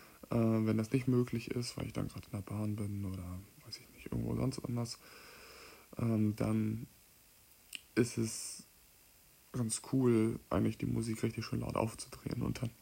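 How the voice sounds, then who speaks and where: Somewhat breathy and dark, mellow in tone, a man speaks at a medium pitch and a moderate pace. His intonation is monotone and flat, broken by long, frequent pauses. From Mecklenburg-Western Pomerania, Stralsund. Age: 20s. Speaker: podcast host, amateur musician. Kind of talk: casual solo monologue. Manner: hesitant, many filler sounds.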